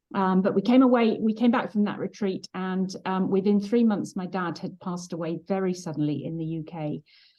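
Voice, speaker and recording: With a British accent, the speaker talks with hardly any pauses and ordinary pitch variation. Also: woman, medium pitch for a woman. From England. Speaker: trauma healing facilitator and former pastor's wife. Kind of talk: interview testimony.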